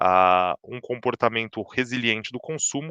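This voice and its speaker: A man speaks here. The sound is dry and close with no echo, and the background is quiet. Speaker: chief economist. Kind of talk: market update presentation. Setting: livestream. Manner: fast; many filler words and restarts.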